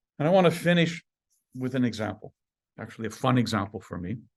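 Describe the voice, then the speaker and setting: A man speaks at a fairly quick pace with lively intonation, in a normal speaking voice at medium pitch. The background is quiet. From Canada, Saskatchewan (Estevan). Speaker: professor. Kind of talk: lecture.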